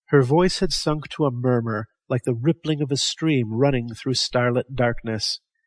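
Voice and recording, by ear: Quiet background, natural voice reading aloud, ordinary pitch variation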